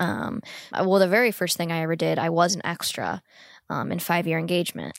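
Talking very fast, a woman uses a fairly low voice with vocal fry and ordinary pitch variation. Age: 30s. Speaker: actor and producer. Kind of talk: casual conversation.

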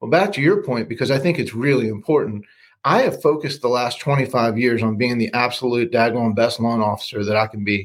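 A man with a normal speaking voice, medium pitch and ordinary pitch variation, at a fairly quick pace, in a very clean recording with a silent background. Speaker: loan officer. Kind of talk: casual interview chat.

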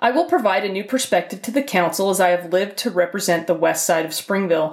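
A woman with an American accent uses a plain, everyday voice at medium pitch. She talks at a fairly quick pace with lively intonation. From Utah. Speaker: city council candidate. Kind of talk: campaign statement.

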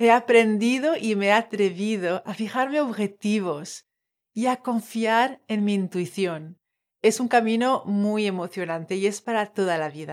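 A woman speaks at a fairly slow pace. Her voice is fairly high, with ordinary pitch variation. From Tahiti. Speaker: life coach and podcast host. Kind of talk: personal storytelling monologue.

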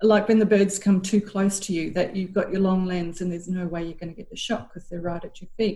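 Speaking very fast with hardly any pauses, a woman has a dark, mellow, somewhat breathy tone in an Australian accent. Her intonation stays fairly even while her loudness swings widely. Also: medium pitch for a woman. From Queensland, Australia. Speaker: university staff and amateur bird photographer. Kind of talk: interview.

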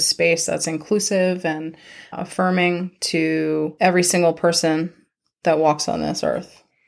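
A woman with a Long Island accent speaks slowly-ish, at a fairly slow pace, in a fairly low, monotone, flat voice. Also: very clean recording, silent background. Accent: Long Island New York. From Long Island, New York. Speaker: chiropractor. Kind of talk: casual chat.

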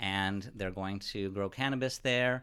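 A man's bright, sharp voice at a fairly slow pace with ordinary pitch variation, very cleanly recorded over a silent background. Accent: Californian. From Ventura County, California. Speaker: newspaper reporter. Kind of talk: interview.

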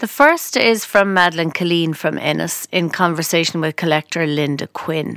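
This woman has an Irish accent and a fairly low pitch. She speaks at a moderate pace with ordinary pitch variation. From west of Ireland. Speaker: podcast host and producer. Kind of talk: scripted narration.

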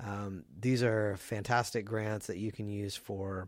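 A man with an American accent speaks in a normal speaking voice at a fairly low pitch and a moderate pace, in a very clean recording with a silent background. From US South. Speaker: radio host, business association staff. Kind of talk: interview; announcements. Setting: studio.

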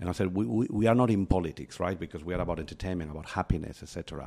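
Recorded very cleanly against a silent background, a man with a Spanish accent speaks at a very deep, low pitch in a dark, mellow tone with ordinary pitch variation. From Spain. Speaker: company chief executive. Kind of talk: interview conversation.

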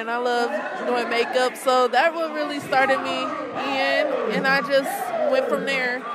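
A woman with an American accent speaks very slowly at a high pitch with ordinary pitch variation. There is audible room echo and crowd noise in the background. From Detroit. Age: 20s. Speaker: entrepreneur. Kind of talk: interview. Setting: pop-up shop.

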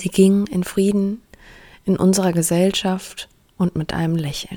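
A woman's dark, mellow tone at a fairly slow pace. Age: 30s. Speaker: podcast host, bereaved daughter. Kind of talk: personal monologue, testimony.

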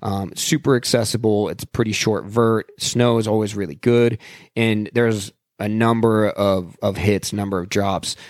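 Here is a man with a plain, everyday voice, fairly low in pitch and fairly even in intonation. He keeps a moderate pace on a very clean recording with a silent background. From Salt Lake City, Utah. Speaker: landscape and action photographer. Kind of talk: casual chat.

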